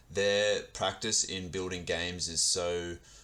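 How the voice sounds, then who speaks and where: A man's very deep, low voice with an Australian accent, bright, sharp tone, fairly even intonation and fairly slow pace. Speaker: podcast interviewer. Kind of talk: interview.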